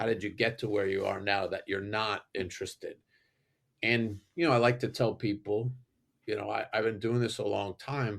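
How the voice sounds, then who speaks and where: A man's fairly low pitch in a normal speaking voice, with fairly even intonation and a moderate pace, on a very clean recording with a silent background. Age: 60s. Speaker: environmental engineer. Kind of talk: casual interview.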